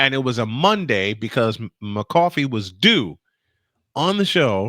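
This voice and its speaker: On a very clean recording with a silent background, a man with a New York accent speaks in a bright, sharp tone at medium pitch, making very wide pitch swings in a dry, close sound with no echo. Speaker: sports podcast host. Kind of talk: casual chat.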